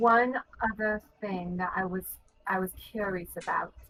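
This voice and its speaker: Music plays in the background while a woman speaks. Her pace is fairly slow and her intonation fairly even. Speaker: tabletop game player. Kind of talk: tabletop roleplay, in character.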